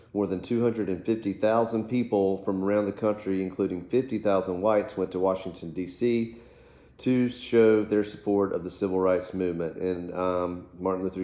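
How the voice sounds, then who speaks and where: In an American accent, the voice has a dark, mellow tone and audible room echo. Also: man. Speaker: teacher. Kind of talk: lecture. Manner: fast.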